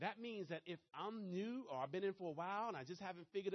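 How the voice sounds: A man speaks with a Maryland accent.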